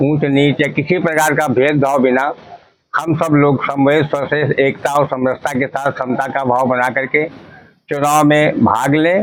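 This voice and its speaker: This man has a fairly high pitch and very even loudness. His intonation is monotone and flat. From Unnao, Uttar Pradesh, India. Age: 70s. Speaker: lawyer, election candidate. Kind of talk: interview. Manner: formal.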